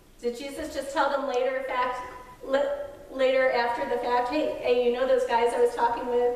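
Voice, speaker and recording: There's noticeable background noise in this clip. A woman with a high pitch talks at a moderate pace. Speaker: pastor. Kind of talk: sermon to a congregation.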